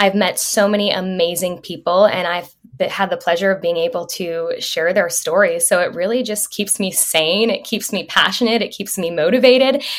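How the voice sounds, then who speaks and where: Speaking with an American accent, a woman keeps a moderate pace and medium pitch with ordinary pitch variation and hardly any pauses, against noticeable background noise. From Massachusetts, south of Boston. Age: 20s. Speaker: advocate and former news reporter. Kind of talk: casual interview.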